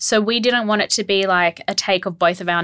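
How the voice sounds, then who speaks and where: Moderate pace and ordinary pitch variation from a woman at a medium pitch, in a very clean recording with a silent background. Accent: Australian. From Australia, Melbourne. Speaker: rug business co-owner, former lawyer. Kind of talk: casual interview.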